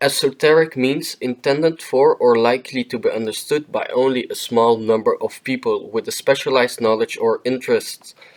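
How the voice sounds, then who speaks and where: At a moderate pace and with hardly any pauses, the voice comes through dry and close with no echo. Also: man. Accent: non-native. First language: non-native English speaker. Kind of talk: educational explainer narration. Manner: hesitant, with filler words.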